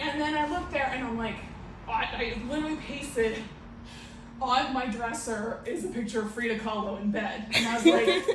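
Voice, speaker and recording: A woman's fairly high voice with ordinary pitch variation, at a moderate pace, with audible room echo and noticeable background noise. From US, Romanian immigrant family. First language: Romanian. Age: 40s. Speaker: comedian. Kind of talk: stand-up. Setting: stage with audience. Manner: animated.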